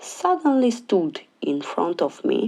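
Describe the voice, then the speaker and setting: A woman speaks very slowly with a non-native accent, her pitch swinging very widely. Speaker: diamond painting hobbyist. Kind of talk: casual talk to camera.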